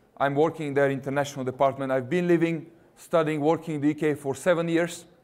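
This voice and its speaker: A man with a Russian accent, fairly high in pitch, in a flat monotone. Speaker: university recruitment representative. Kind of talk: presentation to students.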